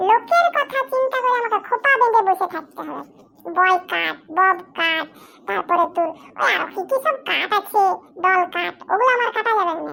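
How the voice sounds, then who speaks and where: In a put-on character voice, this woman talks at a moderate pace with an extremely high pitch. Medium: comedy sketch. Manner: animated, talkative.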